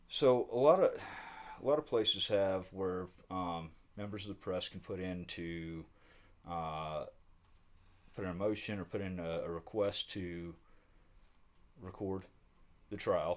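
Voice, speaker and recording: Very deep and low in pitch, a man with a Southern US accent speaks at a fairly slow pace with ordinary pitch variation, big swings in loudness and long, frequent pauses on a very clean recording with a silent background. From US South. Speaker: independent news reporter. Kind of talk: on-the-spot interview. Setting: county administrative building. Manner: halting, many fillers.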